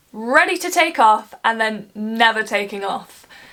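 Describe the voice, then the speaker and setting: An animated woman speaks at a fairly slow pace. Her pitch is fairly high and her intonation lively. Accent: English Midlands. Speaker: travel vlogger. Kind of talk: casual travel vlog.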